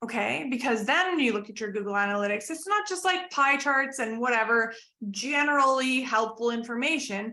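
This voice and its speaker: A woman uses a raised, projected voice with lively intonation. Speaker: business coach. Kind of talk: interview. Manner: animated.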